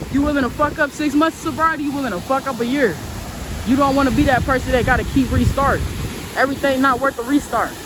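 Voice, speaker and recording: Loud and very fast, a woman speaks with a high pitch and fairly even intonation. Noticeable background noise sits behind her. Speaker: vlogger. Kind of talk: casual vlog monologue. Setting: outdoors on a park walk.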